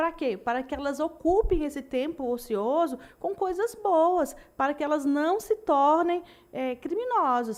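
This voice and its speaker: Her high pitch and lively intonation carry through as the woman speaks at a fairly slow pace. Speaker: military police officer. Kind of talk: panel interview. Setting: studio.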